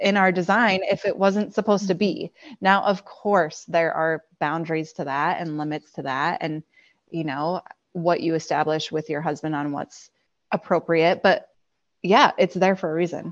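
With an unremarkable speaking voice, a woman talks at a moderate pace and fairly low pitch with ordinary pitch variation, the sound dry and close with no echo over a quiet background. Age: 30s. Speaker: physical therapist and podcast guest. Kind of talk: personal testimony in interview.

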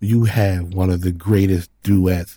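A man speaks very slowly in a very deep, low voice with a dark, mellow, relaxed tone and a somewhat breathy quality. The recording is very clean, with a silent background. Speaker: podcast co-host with his wife. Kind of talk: casual chat.

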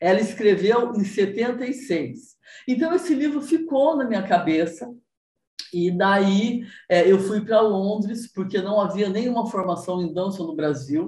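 A woman's somewhat breathy voice in a dark, mellow tone, medium in pitch, with lively intonation at a fairly slow pace and audible room echo. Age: 60s. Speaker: body movement teacher. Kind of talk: interview.

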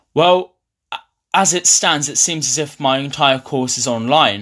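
A man with a southern English accent, bright and sharp in tone, at a fairly slow pace with ordinary pitch variation, on a very clean recording with a silent background. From eastern England, Ipswich. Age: young. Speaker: university student. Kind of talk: interview.

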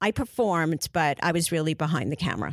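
A woman with a New York accent speaks at a very deep, low pitch. The recording is very clean, with a silent background and dry, close sound with no echo. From New York, Brooklyn (Canarsie). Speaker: casting director. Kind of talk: interview.

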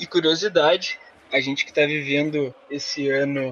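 Noticeable background noise is present. A man talks at a fairly high pitch. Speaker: football podcast host. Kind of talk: casual chat.

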